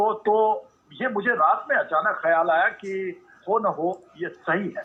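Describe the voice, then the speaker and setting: High-pitched male voice over noticeable background noise. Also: lively intonation. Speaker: army officer, parade commentator. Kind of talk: interview answer.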